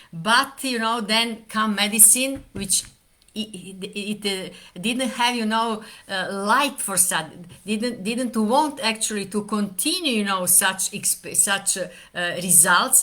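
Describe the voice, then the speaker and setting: With a bright, sharp tone, a woman talks at a very slow pace, her fairly high pitch showing ordinary variation. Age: 70s. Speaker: doctor. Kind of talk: talk to camera. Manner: halting, many fillers.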